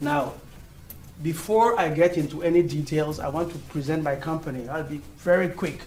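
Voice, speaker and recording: Audible room echo surrounds a speaker with a non-native accent. The pace is moderate and the intonation fairly even. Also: man, fairly high pitch for a man. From Europe. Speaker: engineering executive. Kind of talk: conference talk.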